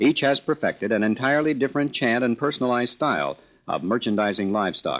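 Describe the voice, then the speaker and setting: This is a man with a medium-pitched voice, an ordinary speaking voice. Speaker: narrator of a promotional film about the livestock auction industry. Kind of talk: corporate narration.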